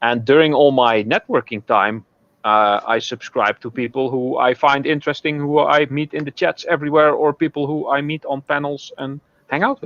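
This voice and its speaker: A man's fairly high pitch, ordinary pitch variation and moderate pace, with a Dutch accent. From southern Netherlands. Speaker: online video creator. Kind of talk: casual chat.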